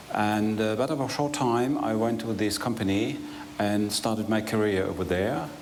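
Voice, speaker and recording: A man with a fairly low pitch speaks at very even loudness amid audible room echo and noticeable background noise. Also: ordinary pitch variation, moderate pace. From northwestern Germany. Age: 60s. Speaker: retired lawyer and manager. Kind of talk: interview. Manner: halting.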